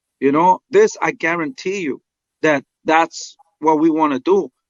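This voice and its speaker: A high-pitched man's voice in a Spanish accent. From Mexico. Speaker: boxing trainer. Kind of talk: interview.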